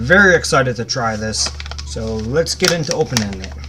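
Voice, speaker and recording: Noticeable background noise accompanies a man whose pitch swings very widely. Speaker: YouTuber product reviewer. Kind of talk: casual product review. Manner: casual, conversational.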